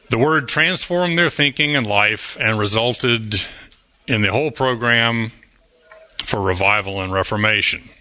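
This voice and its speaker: A man at a medium pitch and moderate pace, ordinary pitch variation, noticeable background noise. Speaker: Sabbath school teacher. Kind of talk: Bible class lesson with group discussion. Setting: church class. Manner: interactive, humorous.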